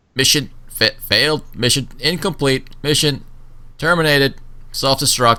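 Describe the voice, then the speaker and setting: A man puts on a robotic character voice at a fairly high pitch. He keeps to a moderate pace. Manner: flat, stuttering.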